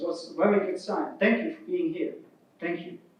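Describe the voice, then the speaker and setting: Audible room echo surrounds a man talking fairly quickly. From Germany. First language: German. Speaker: keynote speaker, open-source project vice president. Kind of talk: keynote speech.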